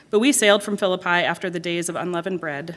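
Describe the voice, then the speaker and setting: A woman with a normal speaking voice talks at a medium pitch and a fairly quick pace. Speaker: scripture reader. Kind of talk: reading aloud. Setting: church.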